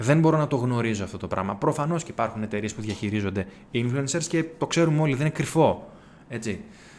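A man with a medium-pitched voice talks with very wide pitch swings. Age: 30s. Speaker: podcast host. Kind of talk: solo commentary monologue.

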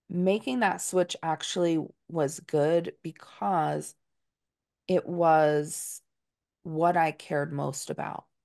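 A woman with an American accent, fairly low in pitch, at a very slow pace with ordinary pitch variation, in a dry, close sound with no echo and a quiet background. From US Northeast, Dutchess County, New York. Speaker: diversity consultant and company co-founder. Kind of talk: interview conversation.

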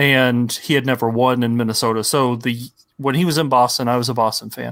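In an American accent, a man with an unremarkable speaking voice talks at a moderate pace, medium in pitch with fairly even intonation, on a very clean recording with a silent background. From Ohio, US Midwest. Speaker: video game podcast guest. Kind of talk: casual chat.

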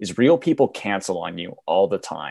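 A man talks at a fairly slow pace with a dark, mellow tone and lively intonation. The sound is dry and close with no echo, against a quiet background. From Alberta, Canada. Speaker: broadcasting graduate. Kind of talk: casual chat.

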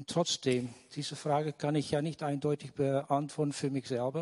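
A man's fairly high, monotone voice with flat intonation and a dry, close sound with no echo. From Netherlands. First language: Dutch (speaking German). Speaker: audience member. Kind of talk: audience question.

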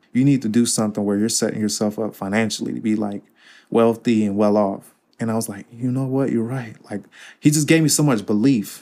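A man with a plain, everyday voice of medium pitch speaks at a fairly quick pace with fairly even intonation in a very clean recording with a silent background. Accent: American. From US Midwest, Cincinnati, Ohio. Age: 20s. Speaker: nutrition coach. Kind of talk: interview conversation.

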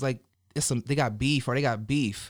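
Recorded very cleanly against a silent background, a man talks with an American accent. His pitch is fairly high, with ordinary variation. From Colorado and California, US. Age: 30s. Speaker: podcast host. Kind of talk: casual interview chat. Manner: casual, laughing.

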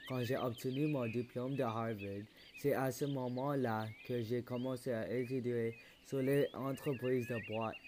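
Speaking at a fairly slow pace, a man holds a medium pitch in a monotone, flat intonation. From Quebec. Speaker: podcast host. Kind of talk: scripted narration.

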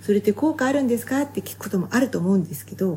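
A woman speaks with a dark, mellow tone and vocal fry. Her pitch swings very widely. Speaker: health and beauty advisor, fitness competitor. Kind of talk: solo podcast talk. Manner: fast; casual conversational.

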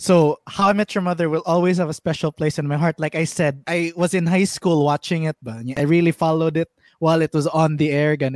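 A man with a Visayan Filipino accent at a fairly quick pace with hardly any pauses, dry and close with no echo, in a very clean recording with a silent background. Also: fairly high pitch for a man, fairly even intonation. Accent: Filipino (Cebuano) English. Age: 20s. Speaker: podcast host. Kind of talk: casual chat.

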